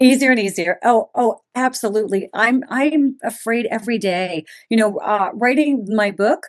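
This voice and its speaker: With hardly any pauses, a woman speaks at a moderate pace in a fairly high pitch, showing ordinary pitch variation. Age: 60s. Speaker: author and former music publishing executive. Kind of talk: podcast interview. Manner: animated.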